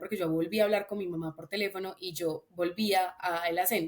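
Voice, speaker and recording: A woman is speaking. Her pace is moderate. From Colombia, Antioquia (paisa), raised in Bogotá. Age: 20s. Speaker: podcast guest, engineering student. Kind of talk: casual chat.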